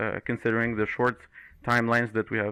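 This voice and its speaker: This man has a Moroccan accent and a bright, sharp tone. The recording is very clean, with a silent background. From Morocco. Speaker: 3D environment artist. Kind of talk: podcast interview. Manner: hesitant, many fillers.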